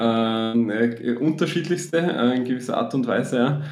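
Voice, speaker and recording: A man with a slight Austrian accent speaks at a medium pitch with ordinary pitch variation. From Austria, Graz area. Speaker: app marketing entrepreneur. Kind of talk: interview. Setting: podcast studio. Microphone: echoey, doubled audio in first minutes.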